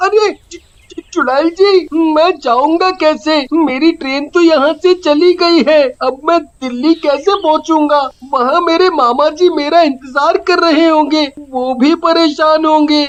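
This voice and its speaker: In a high, cartoonish character voice, the speaker moves at a fairly slow pace with hardly any pauses. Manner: chatty, comic.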